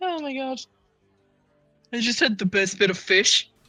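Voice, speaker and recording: A put-on character voice speaks at a moderate pace with a fairly high pitch. Faint music plays in the background. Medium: actual play.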